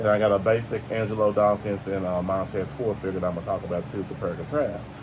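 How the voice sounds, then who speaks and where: Over noticeable background noise, a man with a fairly low voice speaks very fast. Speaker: toy review youtuber. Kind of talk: casual toy unboxing review.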